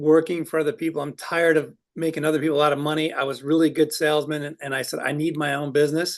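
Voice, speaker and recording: A man with an American accent, a normal speaking voice, fairly high pitch and a fairly quick pace. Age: 60s. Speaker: business owner. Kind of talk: interview.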